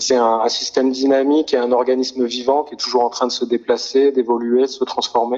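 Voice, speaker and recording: The voice runs on with hardly any pauses in a monotone, flat intonation. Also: man, medium pitch for a man. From France, near Grenoble. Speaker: sound artist. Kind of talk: interview. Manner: halting.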